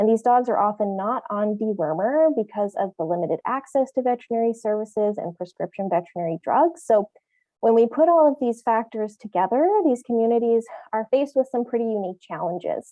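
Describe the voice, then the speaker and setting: Lively intonation and a fairly quick pace, in a Canadian Prairie accent. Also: woman, fairly high pitch for a woman. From Saskatchewan, Canada. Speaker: veterinarian. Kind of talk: lecture. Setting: webinar.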